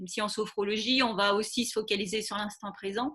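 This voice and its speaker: The woman's tone is bright and sharp, her pace moderate. The recording is very clean, with a silent background. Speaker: sophrologist. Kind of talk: live informational talk. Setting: livestream. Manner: hesitant, many filler sounds.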